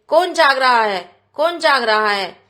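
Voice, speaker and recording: A woman puts on a growling character voice at a high pitch, speaking at a moderate pace. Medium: read story.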